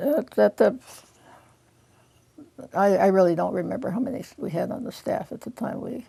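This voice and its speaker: A woman with a dark, mellow tone and medium pitch speaks at a moderate pace, her intonation lively and her voice showing vocal fry. Her loudness swings widely, and she takes long, frequent pauses. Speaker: retired law librarian, oral history interviewee. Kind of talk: oral history interview answer.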